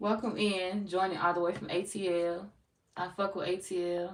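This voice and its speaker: A woman speaks with an American accent at a medium pitch. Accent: sounds country, people often remark. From St. Louis, Missouri. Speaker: tarot reader. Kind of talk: live stream chat with viewers. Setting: live stream. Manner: casual, animated.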